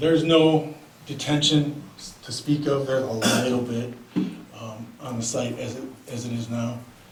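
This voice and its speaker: Over noticeable background noise and audible room echo, a man of medium pitch talks at a moderate pace with fairly even intonation, long, frequent pauses and big swings in loudness. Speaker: civil engineer presenting a development. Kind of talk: public meeting presentation. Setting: town council meeting. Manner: hesitant, many fillers; loud without mic. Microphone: speaking without microphone, was too close.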